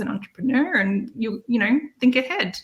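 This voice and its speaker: A woman with an Australian accent, fairly quick pace and ordinary pitch variation. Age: 40s. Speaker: online entrepreneur, busy mom. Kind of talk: interview.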